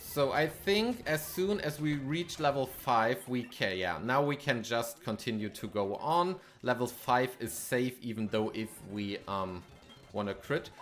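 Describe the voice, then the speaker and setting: With music in the background, a man with a German accent talks at a fairly slow pace in a medium pitch, his intonation lively. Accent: German accent, non-native English. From Germany. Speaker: gaming streamer. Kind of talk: live stream gameplay commentary with chat. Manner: casual, hesitant with frequent fillers.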